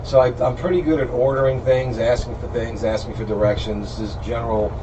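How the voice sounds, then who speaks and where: A man speaks at a fairly quick pace. Audible room echo and noticeable background noise surround his voice. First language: Italian. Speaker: radio host. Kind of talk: casual chat. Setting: studio.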